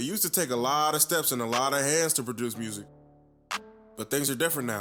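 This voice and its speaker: A man at a fairly quick pace, with ordinary pitch variation and music in the background. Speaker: music producer. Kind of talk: class presentation narration.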